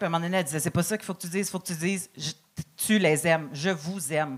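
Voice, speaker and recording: At a very fast pace, a woman with a Quebec accent speaks at a fairly low pitch in a very clean recording with a silent background. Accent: Québécois French. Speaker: comedian. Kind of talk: comedy panel feedback.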